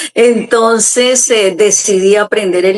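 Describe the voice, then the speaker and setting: Her words come very slowly. The woman holds a medium pitch, and her intonation remains fairly even. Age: 70s. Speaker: pastor and author. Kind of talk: interview testimony. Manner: hesitant fillers.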